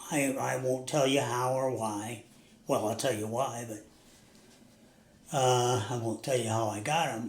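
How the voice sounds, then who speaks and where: With an American accent, a man speaks somewhat breathily at a fairly slow pace, leaving long, frequent pauses, his fairly even intonation carried by audible room echo. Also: medium pitch for a man. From US Northeast. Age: 80s+. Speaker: recovering alcoholic, interview guest. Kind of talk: interview. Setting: sit-down interview.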